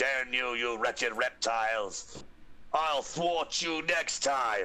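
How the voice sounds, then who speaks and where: A man does a put-on character voice at a medium pitch. He speaks at a very slow pace. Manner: menacing, theatrical.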